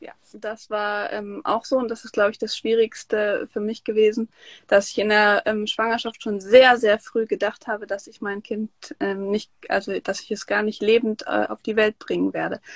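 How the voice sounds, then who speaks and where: The speech is monotone and flat, delivered at a moderate pace with a dry, close sound and no echo. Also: woman, fairly high pitch for a woman. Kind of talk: interview.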